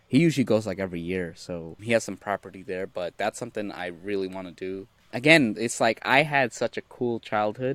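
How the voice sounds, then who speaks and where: A plain, everyday voice at a fairly quick pace with hardly any pauses, ordinary pitch variation and big swings in loudness, in a dry, close sound with no echo. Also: man, fairly low pitch for a man. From United States (immigrated from Bangladesh at age 3-4). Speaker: career coach and resume writer. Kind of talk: casual interview.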